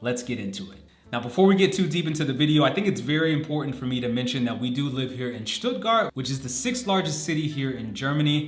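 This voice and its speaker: Over noticeable background noise, a man with an American accent speaks very fast with hardly any pauses, in a fairly high pitch with lively intonation and an animated tone. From United States. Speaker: vlogger. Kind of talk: casual vlog talk to camera.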